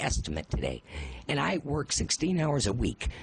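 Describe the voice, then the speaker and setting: The man speaks fairly quickly at a fairly high pitch. Vocal fry runs through his voice. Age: 60s. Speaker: public hearing speaker. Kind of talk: public testimony. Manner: animated.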